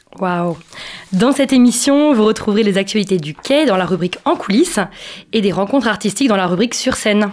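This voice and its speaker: A woman's medium-pitched voice at a fairly quick pace, lively intonation, noticeable background noise. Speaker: radio host. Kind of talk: radio presentation and interview. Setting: studio.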